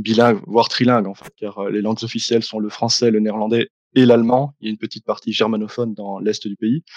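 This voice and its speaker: Speaking fairly quickly in a fairly low pitch, a man keeps a flat, monotone delivery while his loudness swings widely, the sound dry and close with no echo. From Belgium, Liège. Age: 20s. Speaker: YouTuber, philosophy student. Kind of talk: interview.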